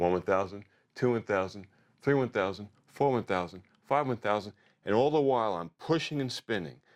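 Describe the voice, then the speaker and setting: Over a quiet background, a man uses an ordinary speaking voice at a moderate pace with lively intonation. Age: 60s. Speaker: fitness coach. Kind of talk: tutorial.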